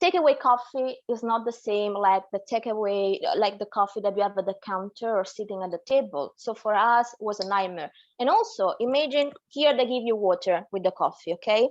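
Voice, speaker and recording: A woman with an Italian accent talks at a fairly quick pace and a fairly high pitch, with ordinary pitch variation against a quiet background. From Naples, Italy. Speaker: tour guide. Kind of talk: interview answer.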